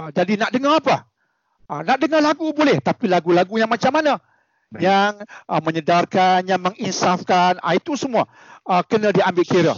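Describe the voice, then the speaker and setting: Here a man speaks at a high pitch. His intonation is lively and his pace moderate. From Malaysia, Penang. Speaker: medical doctor. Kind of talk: radio interview.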